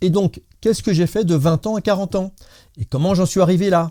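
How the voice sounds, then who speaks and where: A man with a dark, mellow tone is heard on a very clean recording over a silent background. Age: 60s. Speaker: solar heating installer and DIY YouTuber.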